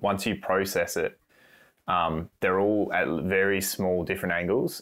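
A man with an Australian accent at a fairly slow pace, with long, frequent pauses, in a very clean recording with a silent background. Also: very even loudness. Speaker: cinematographer and photographer. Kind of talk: casual chat.

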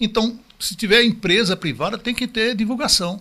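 Very clean audio of a man against a silent background. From Northeast Brazil, João Pessoa. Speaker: retired math teacher and school owner. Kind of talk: casual interview.

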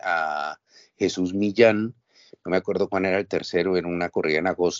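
A man speaks with a very deep, low pitch. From Colombia, Bogotá. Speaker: writer and former novice bullfighter. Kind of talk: interview.

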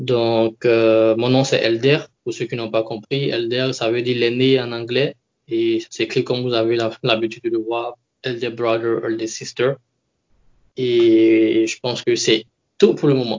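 A man talks at a fairly slow pace with long, frequent pauses. His medium-pitched voice stays monotone, with flat intonation. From Ivory Coast. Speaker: engineer with a doctorate. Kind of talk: interview.

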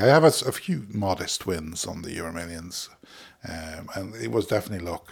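A man at a fairly quick pace, very wide pitch swings, on a very clean recording with a silent background. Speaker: podcast host. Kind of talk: solo reflective monologue, casual chat. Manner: fast talker; rambling, filler-heavy, conversational.

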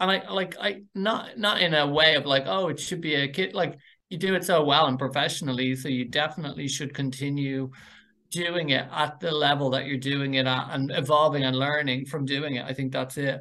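Speaking with a Dublin accent at a fairly quick pace, a man uses a fairly high pitch and ordinary pitch variation. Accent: Dublin Irish. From Ireland, North Dublin. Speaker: university program director. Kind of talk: interview.

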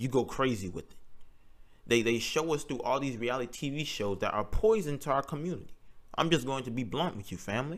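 A man with an ordinary speaking voice, lively intonation and a fairly quick pace. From North Carolina, US South. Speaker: podcast host, college student. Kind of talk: solo podcast monologue.

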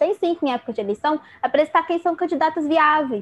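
Talking at a very fast pace with lively intonation, a woman is heard in a dry, close sound with no echo. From Rio de Janeiro state interior, Brazil. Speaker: psychology student, feminist activist. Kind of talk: casual chat.

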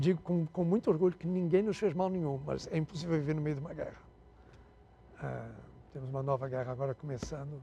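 Talking at a very fast pace yet with long, frequent pauses, a man speaks in a dark, mellow, somewhat breathy tone. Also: fairly high pitch for a man, ordinary pitch variation. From Portugal, raised in Angola. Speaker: health tech CEO. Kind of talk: interview. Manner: halting.

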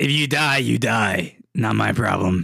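A man puts on a character voice that is raspy and medium in pitch. He delivers it at a fairly slow pace. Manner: callous, menacing.

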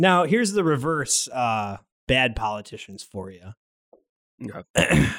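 A man's medium-pitched voice at a very slow pace, with very wide pitch swings, big swings in loudness and long, frequent pauses. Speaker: podcast host. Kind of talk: casual comedy banter.

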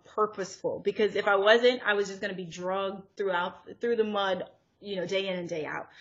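A woman speaks with an American accent in an unremarkable speaking voice. Her pitch is medium, and her intonation fairly even. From US (born in Zimbabwe, left at five). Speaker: entrepreneur, natural hair brand owner. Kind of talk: casual interview.

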